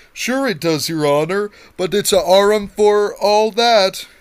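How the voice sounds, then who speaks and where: A man's high put-on character voice at a fairly slow pace. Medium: read story. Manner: deferential.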